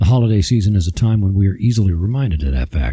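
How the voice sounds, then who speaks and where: Talking at a fairly quick pace, a man with a fairly low pitch uses lively intonation in a dark, mellow, somewhat breathy tone. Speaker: podcast host. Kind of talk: devotional talk.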